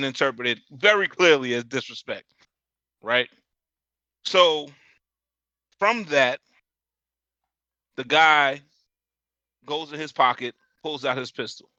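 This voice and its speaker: A man with fairly high pitch and a bright, sharp tone speaks with long, frequent pauses. The sound is dry and close with no echo, against a quiet background. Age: 40s. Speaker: podcast host. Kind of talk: casual chat. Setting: live stream.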